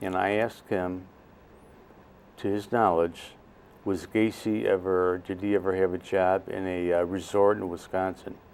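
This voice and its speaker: A man's very deep, low voice at a moderate pace, monotone and flat, with long, frequent pauses. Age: 70s. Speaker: interview guest sharing personal story. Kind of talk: interview. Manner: halting.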